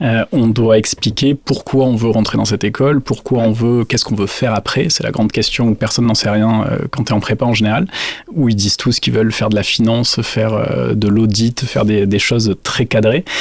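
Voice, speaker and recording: There is noticeable background noise behind a man of medium pitch. He talks at a fairly quick pace with fairly even intonation and very even loudness. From southwestern France (Dax, Landes). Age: 30s. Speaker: business owner. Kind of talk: interview. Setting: factory visit.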